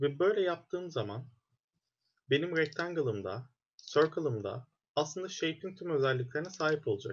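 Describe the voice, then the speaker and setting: Speaking at a moderate pace with lively intonation, a man's fairly high voice carries over light background noise. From Turkey. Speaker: programming instructor; student course instructor. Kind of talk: lecture. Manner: hesitant, many fillers.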